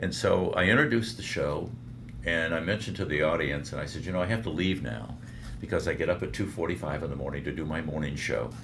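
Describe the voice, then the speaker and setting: In a room with audible echo, a man with an American accent talks at a very fast pace. His pitch is very deep and low, and his intonation is lively. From Michigan, Detroit. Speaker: veteran radio broadcaster. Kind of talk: interview storytelling, faith testimony.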